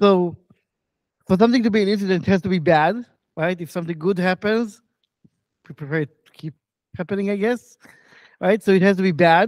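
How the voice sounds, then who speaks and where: Over a quiet background, a man with a high pitch talks at a fairly quick pace with ordinary pitch variation, the sound dry with no echo. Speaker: conference speaker. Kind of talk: lecture. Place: hall.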